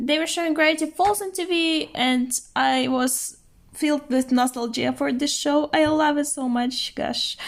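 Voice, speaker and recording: A woman with a non-native accent speaks at a high pitch. Her pitch variation is ordinary and her pace moderate. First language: not English. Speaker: art vlogger. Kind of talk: casual show-and-tell narration. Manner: hesitant with fillers.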